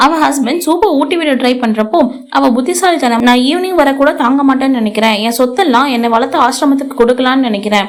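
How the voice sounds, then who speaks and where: Ordinary pitch variation in a woman's high voice. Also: very even loudness. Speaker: voice-over narrator. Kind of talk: movie recap narration.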